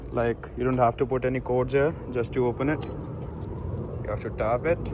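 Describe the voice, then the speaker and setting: Speaking with an Indian accent, a man keeps a medium pitch and fairly even intonation. His moderate pace leaves hardly any pauses. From India, Delhi. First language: Hindi. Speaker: student vlogger. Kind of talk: vlog tour. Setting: outdoors. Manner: casual.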